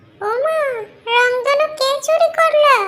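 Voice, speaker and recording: Extremely high pitch marks this voice. It is a cartoonish character voice. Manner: argumentative, cheeky.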